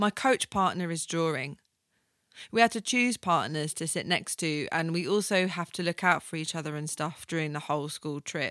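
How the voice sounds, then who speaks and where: A woman's fairly low voice, an ordinary speaking voice at a moderate pace with ordinary pitch variation, in a dry, close sound with no echo. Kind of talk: radio DJ patter, chatty solo podcast intro. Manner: casual, rambling, self-deprecating, laughs at own jokes, filler-heavy; warm, informal, playful, full of ums and asides.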